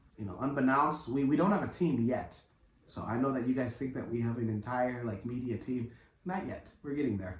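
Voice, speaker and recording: A man at medium pitch with ordinary pitch variation and a fairly quick pace, against noticeable background noise. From US (immigrant from East Africa, arrived before age five). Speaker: podcast co-host and news presenter. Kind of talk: casual chat.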